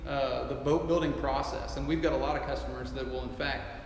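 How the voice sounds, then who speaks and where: With audible room echo and light background noise, a man talks at a fairly quick pace. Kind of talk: interview answer. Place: hall.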